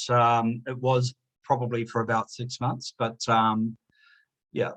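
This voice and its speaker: In a New Zealand accent, a man speaks with a dry, close sound and no echo. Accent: New Zealand twang. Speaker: author and chartered accountant. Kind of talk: interview. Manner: hesitant, many fillers.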